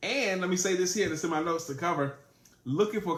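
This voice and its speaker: A man is talking. His pitch is high. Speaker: sales trainer. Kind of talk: live-streamed training talk. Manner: animated.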